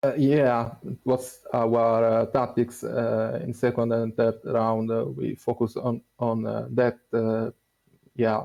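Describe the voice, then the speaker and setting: A man speaks with a non-native accent at a medium pitch. His intonation is monotone and flat. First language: not English. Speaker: esports team player. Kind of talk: post-match interview. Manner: halting.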